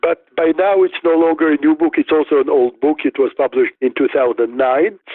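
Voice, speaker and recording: A man with a Russian accent and a fairly high pitch talks at a fairly quick pace with very even loudness. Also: ordinary pitch variation. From Soviet Union (Riga, Moscow). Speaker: neuropsychologist and author. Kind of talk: interview.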